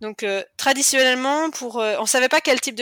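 Bright and sharp in tone, a woman talks at a fairly quick pace with ordinary pitch variation, recorded very cleanly in a dry, close space with no echo and a silent background. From western France, Cholet. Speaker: cancer survivor and mother. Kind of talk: testimony. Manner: talkative.

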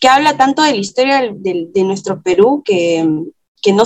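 At a fairly slow pace, a woman speaks with lively intonation in a fairly high voice. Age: 30s. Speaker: film critic. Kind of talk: interview. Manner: hesitant, many fillers.

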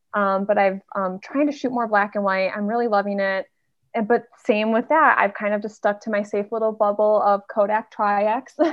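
A woman with an unremarkable speaking voice talks at a moderate pace, her fairly high pitch held in fairly even intonation. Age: 30s. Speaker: film photographer. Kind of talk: casual interview.

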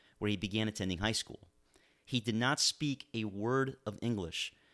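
On a very clean recording with a silent background and a dry, close sound with no echo, a man with an ordinary speaking voice talks at a fairly quick pace, at a medium pitch and with ordinary pitch variation. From Miami, Florida. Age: 40s. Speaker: political podcast host and lawyer. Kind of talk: political commentary monologue.

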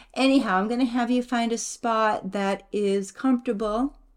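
A woman talks in a plain, everyday voice with ordinary pitch variation. The recording is very clean, with a silent background. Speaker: podcast co-host, mother. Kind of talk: guided meditation. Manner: slow, soothing, repetitive; calm, gentle.

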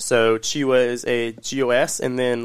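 Over a silent background in a very clean recording, a man speaks at a medium pitch with monotone, flat intonation. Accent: American. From Orlando, Florida. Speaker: restaurant leader, grand opening specialist. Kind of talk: casual interview chat.

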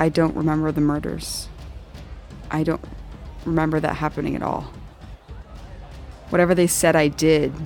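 Using a put-on character voice, a man mumbles at a fairly high pitch and a moderate pace, with long, frequent pauses and clear music in the background. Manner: mumbling, ashamed.

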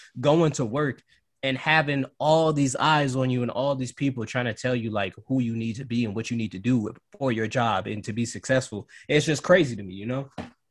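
A man speaks at a fairly quick pace in an unremarkable speaking voice with an American accent. His pitch is medium, and its variation is ordinary. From Cleveland, Ohio. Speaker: student and podcaster. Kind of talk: casual chat.

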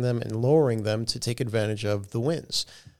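A man with an unremarkable speaking voice, medium pitch and fairly even intonation, on a very clean recording against a silent background. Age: 40s. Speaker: airline pilot. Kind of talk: casual chat. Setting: studio.

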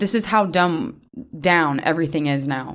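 A woman talks at a fairly slow pace with a fairly low pitch and ordinary pitch variation, in a plain, everyday voice. The recording is very clean, with a silent background. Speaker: podcast host. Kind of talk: casual chat. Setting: studio.

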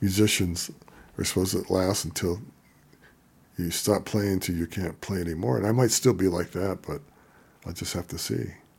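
A man with a very deep, low voice and vocal fry speaks at a fairly quick pace with ordinary pitch variation, broken by long, frequent pauses. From Denver, Colorado (born Chicago). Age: 70s. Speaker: blues musician. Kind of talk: interview.

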